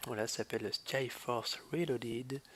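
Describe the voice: Fairly slow speech from a man at medium pitch, fairly bright in tone, with ordinary pitch variation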